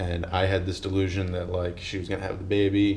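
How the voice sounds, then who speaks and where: Speaking at a fairly quick pace, a man with a fairly low pitch is heard amid audible room echo. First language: not English. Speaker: YouTuber doing a truck engine swap. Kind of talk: casual vlog talk to camera. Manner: rambling, many filler words; gestures a lot while talking.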